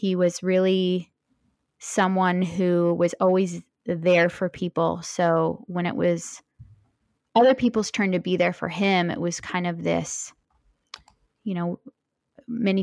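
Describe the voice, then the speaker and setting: A woman's plain, everyday voice, fairly low in pitch, with fairly even intonation at a fairly slow pace, in a very clean recording with a silent background and a dry, close sound with no echo. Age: 30s. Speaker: widow sharing her husband's cancer story. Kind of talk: interview testimony.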